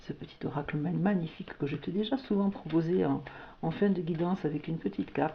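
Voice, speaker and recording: With vocal fry and a fairly low pitch, a woman talks at a fairly quick pace. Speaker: tarot/oracle card reader. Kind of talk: spiritual guidance reading. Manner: hesitant, many fillers and repetitions; warm, intimate address.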